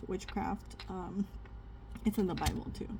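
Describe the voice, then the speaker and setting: A woman speaks at a fairly slow pace and a medium pitch. Her tone is dark and mellow, and somewhat breathy. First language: not English. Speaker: spiritual content creator. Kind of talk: casual Bible reading with commentary. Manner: conversational, hesitant with fillers.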